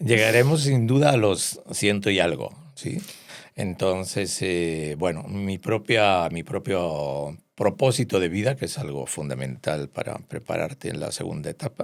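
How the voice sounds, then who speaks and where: Speaking at a fairly slow pace, a man with a fairly low pitch makes very wide pitch swings. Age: 60s. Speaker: psychiatrist. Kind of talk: interview. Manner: hesitant, many fillers.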